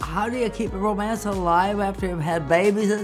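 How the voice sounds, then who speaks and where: A woman's voice with music in the background. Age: 80s+. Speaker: mother and grandmother giving life advice. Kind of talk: interview answer. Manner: witty, lively.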